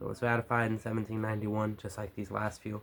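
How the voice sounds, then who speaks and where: Talking at a very fast pace, a man with an American accent uses monotone, flat intonation. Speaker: youtuber. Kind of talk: reading aloud with commentary. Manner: halting, stumbles over words.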